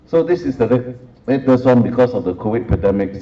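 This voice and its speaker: There is audible room echo as a man speaks with a Singaporean accent. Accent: Singlish. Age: 60s. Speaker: professor. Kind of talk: lecture.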